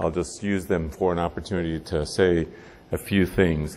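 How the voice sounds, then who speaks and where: On a very clean recording with a silent background, a man with a Spanish accent speaks at a moderate pace in a very deep, low pitch. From Cuba. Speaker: physician and research institute director. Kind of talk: keynote speech. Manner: hesitant, many fillers.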